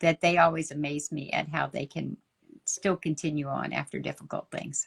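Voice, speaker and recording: In a strong Texas accent, a woman speaks with vocal fry at a very deep, low pitch and with fairly even intonation, the sound dry and close with no echo. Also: moderate pace. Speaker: ministry leader and coach. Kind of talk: interview conversation.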